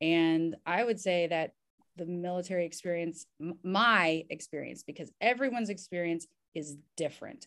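A woman speaks with a Southern US accent at a fairly low pitch. Her pace is moderate and her pitch variation is ordinary. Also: big swings in loudness. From US South, Kentucky and Indiana. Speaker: physician and army veteran. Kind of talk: interview.

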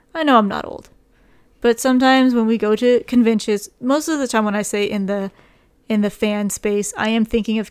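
A woman's normal speaking voice, fairly high-pitched, at a moderate pace with ordinary pitch variation. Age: 20s. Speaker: podcast co-host. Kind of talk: casual chat.

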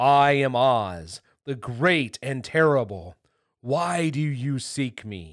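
Booming and very slow, a man puts on a character voice. His pitch is medium. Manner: solemn, booming.

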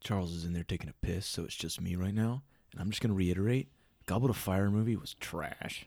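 A man with an American accent speaks very fast in a very deep, low voice with ordinary pitch variation. The recording is very clean, with a silent background. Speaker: podcast host. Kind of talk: casual chat.

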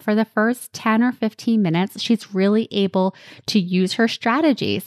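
In a New Jersey accent, a woman with a fairly high pitch speaks in a dry, close sound with no echo against a quiet background. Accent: New Jersey American. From New Jersey, US. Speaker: podcast host and life coach. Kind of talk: solo podcast monologue.

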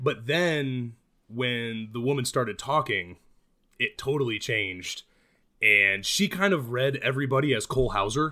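Over a very clean recording with a silent background, a man with a normal speaking voice talks at a medium pitch and a moderate pace, with ordinary pitch variation. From US Midwest. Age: 30s. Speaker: attorney. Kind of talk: casual chat.

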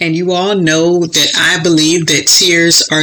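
Against noticeable background noise, a woman with an American accent speaks at a fairly low pitch. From Florida. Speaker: author and podcast host. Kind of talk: inspirational monologue. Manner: animated.

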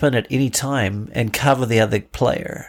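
A man with a New Zealand accent, medium in pitch with ordinary variation, at a fairly slow pace on a very clean recording with a silent background. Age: 50s. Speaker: father with cancer. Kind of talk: interview conversation. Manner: halting.

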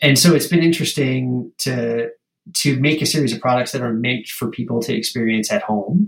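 At a fairly quick pace, a man speaks in a medium pitch with a somewhat breathy sound. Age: 40s. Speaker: drinks company founder. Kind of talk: interview.

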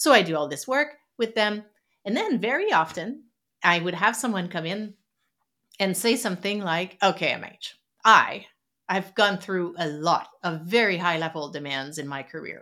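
In a French Canadian accent, a woman with a medium-pitched voice speaks at a moderate pace with lively intonation. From Quebec City, Canada. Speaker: psychologist and author. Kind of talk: interview conversation.

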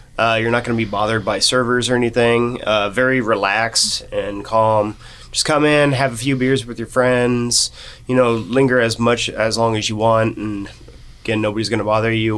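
With a Midwestern American accent, a man speaks at a moderate pace in a medium pitch with monotone, flat intonation. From western Kansas (Norton). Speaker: brewery co-owner and brewer. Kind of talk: casual interview.

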